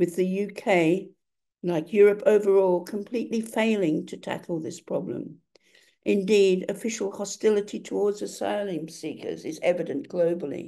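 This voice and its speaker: A woman speaks with a dark, mellow tone and vocal fry. Her pitch variation is ordinary and her pace moderate. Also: medium pitch for a woman, big swings in loudness. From Australia. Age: 80s+. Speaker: writer and activist. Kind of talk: lecture. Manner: formal.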